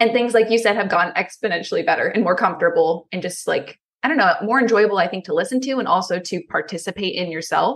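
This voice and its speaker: At a very fast pace with hardly any pauses, a woman with an American accent speaks in a fairly high pitch with ordinary pitch variation. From Pennsylvania. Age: 20s. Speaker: podcaster. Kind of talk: interview.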